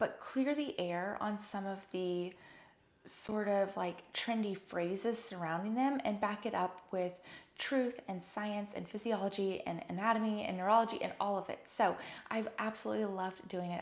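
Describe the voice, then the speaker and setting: A woman talks at a moderate pace in a medium pitch, with ordinary pitch variation. Her tone is animated. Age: 20s. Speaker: physical therapist and wellness podcast host. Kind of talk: solo podcast talk.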